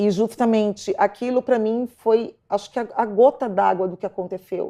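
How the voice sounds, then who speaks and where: A woman speaks at a moderate pace with fairly even intonation in a fairly high voice with a dark, mellow tone. The sound is dry and close with no echo, and the background is quiet. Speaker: stalking victim. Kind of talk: testimony. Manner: halting, repeats words.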